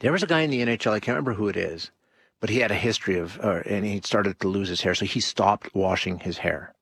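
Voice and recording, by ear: A man speaks at a fast pace in a fairly low pitch. His voice has a slightly husky edge and ordinary pitch variation.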